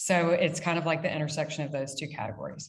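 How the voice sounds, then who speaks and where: With an American accent, a woman talks at a fairly quick pace and fairly low pitch, her somewhat breathy voice carrying audible room echo. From United States. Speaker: brand founder and CEO. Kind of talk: casual interview. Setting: video call from dining room. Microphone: echoey sound.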